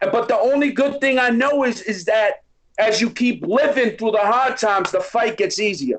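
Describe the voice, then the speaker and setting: A man with a Boston accent and an extremely high pitch, at a moderate pace with ordinary pitch variation. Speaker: recovery organization founder. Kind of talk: podcast interview. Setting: live stream. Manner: animated.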